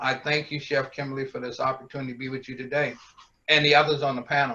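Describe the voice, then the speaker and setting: A man's fairly high voice has a bright, sharp tone and flat, monotone intonation. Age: 60s. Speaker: panelist. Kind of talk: panel discussion.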